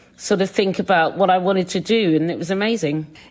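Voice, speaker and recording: Speaking with a British accent, the woman holds a medium pitch and fairly even intonation at a fairly quick pace. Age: 50s. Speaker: chef and TV presenter. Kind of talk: podcast interview. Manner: halting.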